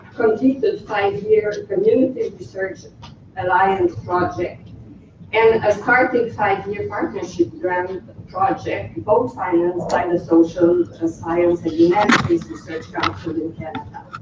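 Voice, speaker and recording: Over noticeable background noise, a woman with a Quebec accent talks at a fairly slow pace. Her pitch is medium and her intonation lively. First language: French. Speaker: researcher. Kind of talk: conference presentation. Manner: hesitant; reading from text.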